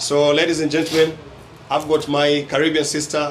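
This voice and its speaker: A man speaks at a fairly high pitch and a fairly quick pace. Noticeable background noise can be heard. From Kenya. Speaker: vlogger and property agent. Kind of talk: vlog presenting. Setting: restaurant.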